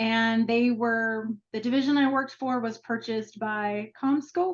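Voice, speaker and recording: There is a slight Minnesota accent in this woman's fairly high voice. She speaks at a fairly slow pace with fairly even intonation. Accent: slight Minnesota accent on the O. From Minnesota, US Midwest. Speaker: marketing executive. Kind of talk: interview. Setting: video call.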